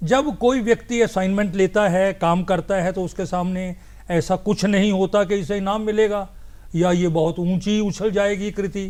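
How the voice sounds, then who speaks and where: With fairly even intonation, a man talks in a high voice. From Punjab, India. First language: Punjabi (speaking Hindi). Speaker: poet and translator. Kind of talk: TV interview.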